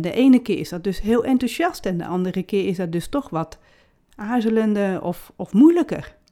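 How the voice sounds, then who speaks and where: A woman with a fairly high pitch and a dark, mellow tone speaks at a moderate pace with lively intonation. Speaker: podcast host and author. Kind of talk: solo podcast monologue. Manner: frequent filler sounds (uh).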